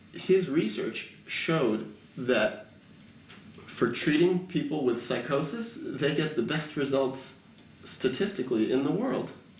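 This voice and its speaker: A man with an American accent talks at a fairly slow pace with a fairly high pitch and lively intonation. Long, frequent pauses break his speech amid audible room echo. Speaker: documentary filmmaker. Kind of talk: interview.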